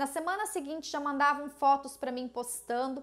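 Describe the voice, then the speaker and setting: This is a woman with a high pitch. She speaks at a moderate pace. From Brazil. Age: 30s. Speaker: confectioner and online course creator; online course creator. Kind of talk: personal story video to camera. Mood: warm, earnest storytelling. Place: kitchen. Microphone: lapel.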